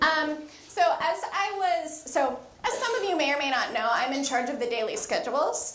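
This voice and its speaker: Loud and high-pitched, a woman talks in an American accent with very wide pitch swings at a moderate pace. Audible room echo and noticeable background noise surround her voice. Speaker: microbial ecologist. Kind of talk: lecture.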